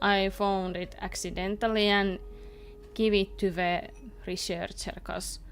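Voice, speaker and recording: A woman speaks in a Finnish accent. Her pace is fairly slow. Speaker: video game streamer. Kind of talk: casual chat while gaming, reading game dialogue aloud. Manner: cheerful.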